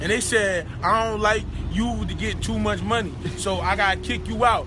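Background noise is noticeable. A man is speaking. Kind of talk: casual boastful vlog rant. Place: street. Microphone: phone near.

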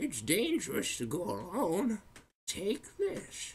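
Delivered in a put-on character voice, the speech sits at a middle pitch and moves at a fairly slow pace.

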